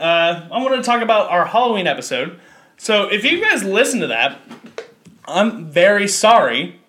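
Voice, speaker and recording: In a raised, projected voice, a man with a high pitch speaks at a moderate pace with lively intonation. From Kentucky. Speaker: podcast host. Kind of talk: casual chat.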